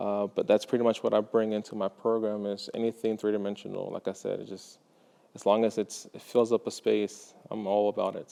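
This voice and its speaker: With a Spanish accent, a man speaks at a fairly quick pace in a fairly low, dark, mellow voice, his intonation monotone and flat while his loudness swings widely. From Mexico (Guadalajara), raised in Texas from age seven. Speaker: high school art teacher. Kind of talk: interview testimonial. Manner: hesitant, many fillers.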